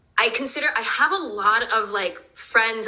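Over noticeable background noise, a woman speaks in an animated tone at a fairly high pitch. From New Jersey, born in Brooklyn. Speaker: meditation teacher and clothing brand founder. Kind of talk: casual chat.

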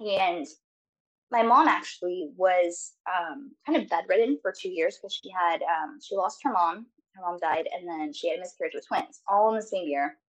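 A woman with an American accent speaks at a moderate pace in a plain, everyday voice, her medium pitch carried by lively intonation and big swings in loudness. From rural US backwoods. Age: 20s. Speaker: podcast guest sharing religious upbringing. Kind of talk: testimony.

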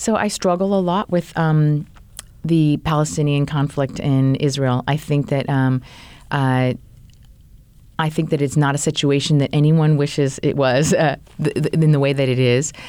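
With an American accent, a woman speaks at a moderate pace in a very deep, low pitch, her tone dark and mellow, her loudness very even and her intonation fairly even. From US Pacific Northwest, Tacoma, Washington. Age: 40s. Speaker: rabbi. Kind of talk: interview.

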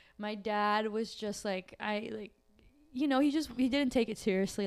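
The speaker has a normal speaking voice and talks at a moderate pace. Pitch variation is ordinary. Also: woman. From Brazil, raised in New York area from age nine. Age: 20s. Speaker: friend guest. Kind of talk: casual chat.

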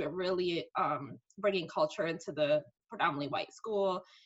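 A woman with a slight New York accent talks at a moderate pace in a fairly low pitch, with ordinary pitch variation. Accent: New York, slight, polished diction. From Bronx, New York. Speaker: marketing executive. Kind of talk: casual interview chat. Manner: articulate, conversational.

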